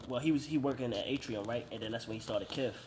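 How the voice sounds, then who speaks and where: There is noticeable background noise behind a man's voice. He talks at medium pitch with fairly even intonation. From Baltimore, Maryland (US). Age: 30s. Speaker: vintage store owner. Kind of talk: casual interview.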